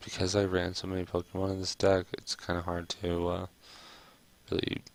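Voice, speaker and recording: A soft-spoken man with a very deep, low pitch at a moderate pace. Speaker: gamer, card game streamer. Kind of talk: casual talk to camera, gameplay commentary. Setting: home recording, ASMR-style video. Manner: soft-spoken, relaxed.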